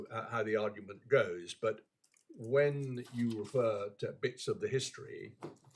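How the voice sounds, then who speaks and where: At a fairly slow pace, a man speaks in a somewhat breathy voice with ordinary pitch variation. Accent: British. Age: old. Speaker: appeal court judge. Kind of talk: courtroom proceedings. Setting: courtroom. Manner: halting.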